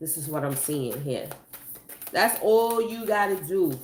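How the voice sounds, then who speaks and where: A woman speaks in an animated tone with very wide pitch swings. Audible room echo surrounds her voice. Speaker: tarot reader. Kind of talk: tarot reading. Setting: on camera video. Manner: casual, animated.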